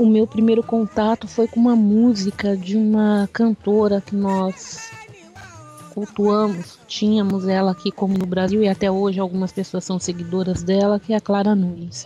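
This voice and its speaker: Over music in the background, a woman speaks at medium pitch and a moderate pace with fairly even intonation. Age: 40s. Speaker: candomblé initiate and religious activist. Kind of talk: interview. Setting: radio interview.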